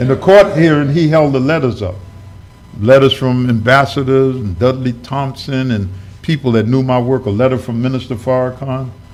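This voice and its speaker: Moderately paced speech in an American accent, with audible room echo. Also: man, medium pitch for a man, ordinary pitch variation. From New York. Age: 70s. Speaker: minister. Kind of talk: sermon. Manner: conversational storytelling.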